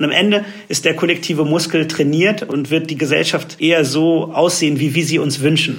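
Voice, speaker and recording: A man's fairly high-pitched, an ordinary speaking voice, with fairly even intonation and a moderate pace. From Germany. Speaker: advertising agency executive. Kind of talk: interview.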